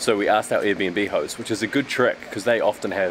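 A man's very fast speech at a fairly low pitch amid noticeable background noise. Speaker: travel vlogger. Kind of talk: casual vlog chat. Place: street. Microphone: phone near.

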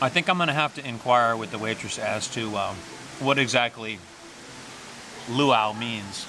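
A man's voice has a bright, sharp tone and ordinary pitch variation. Faint background noise is present. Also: medium pitch for a man, fairly slow pace.

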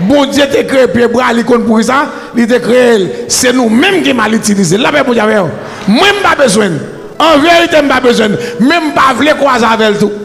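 A man talks at a fairly quick pace with an extremely high pitch. His intonation is lively. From Haiti. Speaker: preacher. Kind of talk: sermon. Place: church. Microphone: handheld.

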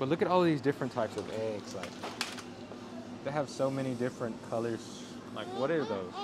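Loud background noise surrounds a man as he talks. He speaks at a fairly quick pace with ordinary pitch variation. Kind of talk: casual vlog chat. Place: shop.

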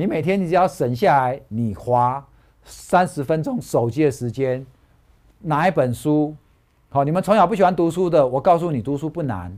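A man talks at a moderate pace with lively intonation and an animated tone. The background is quiet. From Taiwan. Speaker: stock market analyst; stock market analyst host. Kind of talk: casual chat. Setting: studio. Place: studio. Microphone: lapel.

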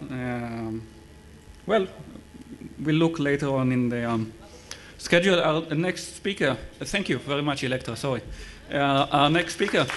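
Against light background noise, a man speaks fairly slowly with long, frequent pauses in a fairly high voice with ordinary pitch variation. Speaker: session moderator. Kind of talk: event moderating. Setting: stage with audience. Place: hall. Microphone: podium.

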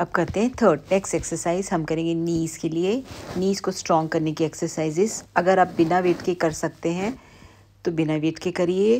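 A dark, mellow tone over light background noise. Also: woman, fairly low pitch for a woman, fairly even intonation, moderate pace. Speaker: physiotherapist instructor. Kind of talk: tutorial.

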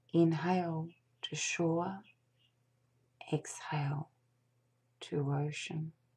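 A woman speaks in a fairly low pitch with a somewhat breathy sound. Her intonation is monotone and flat. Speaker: meditation guide. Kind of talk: guided meditation. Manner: soft slow whisper, calming. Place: home room. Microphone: webcam.

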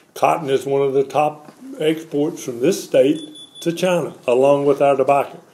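A man with a North Carolina accent, fairly high in pitch, at a moderate pace with fairly even intonation. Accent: US Southern, North Carolina. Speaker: former congressman; former politician. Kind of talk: press conference statement. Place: home room. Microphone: podium.

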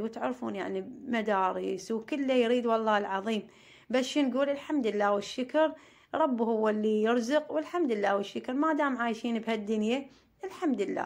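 Speaking with a southern Iraqi accent, a woman keeps a moderate pace at a fairly high pitch with ordinary pitch variation. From Iraq, Maysan (Amarah). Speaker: family vlogger, homemaker. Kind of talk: casual vlog narration.

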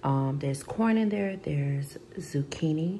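A woman speaks at a fairly slow pace in a very deep, low pitch, with light background noise. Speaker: vlogger. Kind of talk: casual vlog chat. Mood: relaxed, after a shower. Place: kitchen.

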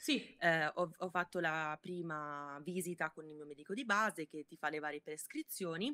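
A woman with a fairly low pitch and a bright, sharp tone talks at a moderate pace with hardly any pauses and ordinary pitch variation. Her loudness swings widely over a quiet background. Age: 20s. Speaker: body-positivity content creator. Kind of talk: casual interview. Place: home room.

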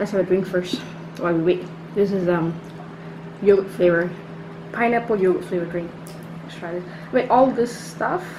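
A woman speaks at a fairly quick pace with ordinary pitch variation and big swings in loudness. Noticeable background noise is present. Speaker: food vlogger. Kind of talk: casual vlog chat. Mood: cheerful, upbeat. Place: home room. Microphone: camera far.

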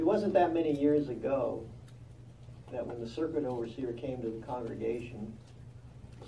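A man talks fairly quickly while noticeable background noise sounds around him. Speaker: congregation elder giving a talk. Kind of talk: religious talk.

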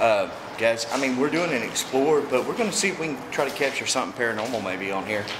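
Noticeable background noise around a man's fairly quick speech. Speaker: urban explorer vlogger. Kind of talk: casual vlog chat. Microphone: phone near.

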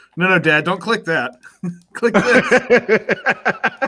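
A man talks with a high pitch and lively intonation. His raised, projected voice carries an animated tone. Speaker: developer show co-host, timekeeper. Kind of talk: casual banter during live coding stream. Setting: video call / live stream. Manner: animated, joking.

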